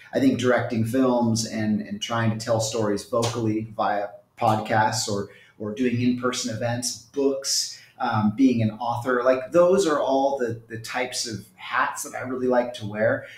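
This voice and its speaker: A man at a fairly slow pace, with audible room echo. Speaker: remote guest. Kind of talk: interview answer. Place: home room. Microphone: earbuds.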